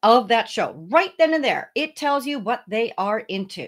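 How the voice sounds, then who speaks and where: A woman with a normal speaking voice talks at a fairly high pitch with lively intonation, on a very clean recording with a silent background. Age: 60s. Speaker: founder of a speaker booking agency. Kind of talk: podcast interview.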